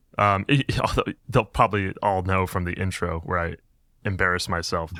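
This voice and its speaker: A man with an American accent speaks at a moderate pace in a very deep, low pitch with a bright, sharp tone. His intonation is fairly even, and the recording is very clean with a silent background. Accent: drops the G in -ing words. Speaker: podcast host. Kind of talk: casual chat.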